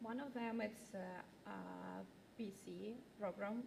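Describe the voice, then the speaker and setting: A woman with a Ukrainian accent is heard with audible room echo and noticeable background noise. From Ukraine. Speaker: refugee resettlement caseworker. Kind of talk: community presentation. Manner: halting, many fillers.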